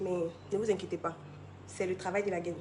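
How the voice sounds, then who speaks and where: A woman talks with noticeable background noise present. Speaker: product presenter. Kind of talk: sales pitch. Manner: fast.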